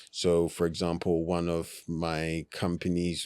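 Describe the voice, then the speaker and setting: A man's very deep, low voice with a London accent, at a fairly slow pace in a very clean recording with a silent background. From South London. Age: 30s. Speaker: entrepreneur. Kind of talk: podcast interview. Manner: casual, filler-heavy.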